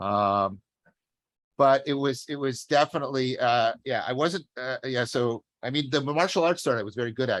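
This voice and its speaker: Medium-pitched male speech at a moderate pace with ordinary pitch variation, dry and close with no echo. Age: 60s. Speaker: professor. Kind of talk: casual chat. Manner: halting.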